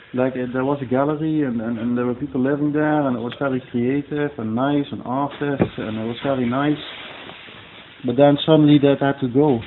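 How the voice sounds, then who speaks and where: A man's fairly high-pitched, monotone voice at a fairly quick pace, flat in intonation, over noticeable background noise. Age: 40s. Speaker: interviewee, local resident. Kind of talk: interview. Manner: halting, many repetitions.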